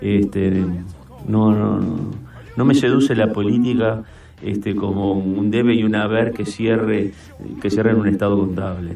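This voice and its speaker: Noticeable background noise sits behind a man speaking at a fairly slow pace with long, frequent pauses. His fairly low voice keeps a fairly even intonation. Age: 70s. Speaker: senator. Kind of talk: radio interview. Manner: halting, with frequent fillers.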